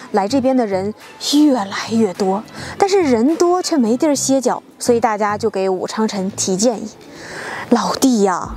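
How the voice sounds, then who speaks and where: At a moderate pace, the voice carries lively intonation over light background noise, with a dry sound and no echo. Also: woman. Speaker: travel vlog host. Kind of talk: travel guide commentary. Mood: cheerful, storytelling. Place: open country. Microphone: lapel.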